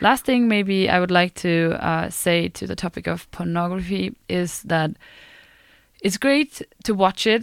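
A woman talks at a fairly slow pace in a plain, everyday voice, medium in pitch with ordinary pitch variation. The recording is very clean with a silent background and a dry, close sound with no echo. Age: 20s. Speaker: student radio co-host. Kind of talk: casual chat. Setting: studio.

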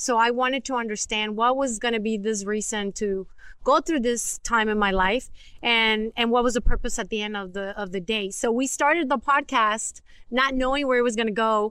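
Her voice is a woman's, fairly high in pitch with a bright, sharp tone. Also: ordinary pitch variation, moderate pace. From Mexico. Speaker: podcast co-host and teacher. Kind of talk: testimony.

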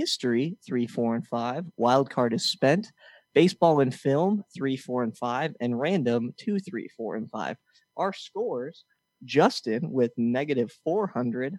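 A man speaks at a medium pitch with lively intonation and a fairly slow pace. The sound is dry and close with no echo, and it is a normal speaking voice. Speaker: podcast co-host and game show host. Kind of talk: mock game show hosting, reading trivia clues and announcing scores. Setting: studio. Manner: teasing, jokey.

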